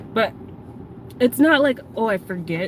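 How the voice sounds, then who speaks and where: A soft-spoken woman amid noticeable background noise. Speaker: livestreamer. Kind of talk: casual chat. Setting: in a car. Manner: voice trails off at sentence ends.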